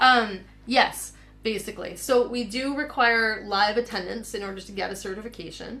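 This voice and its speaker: Audible room echo surrounds this voice. A woman speaks with ordinary pitch variation. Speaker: counseling psychologist and program founder leading a webinar. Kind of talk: webinar presentation. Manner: fast.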